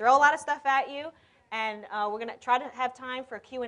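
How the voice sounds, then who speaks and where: A woman with an American accent speaks with ordinary pitch variation over a quiet background. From New York. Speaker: conference speaker, e-commerce consultant. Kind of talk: conference talk. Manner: fast.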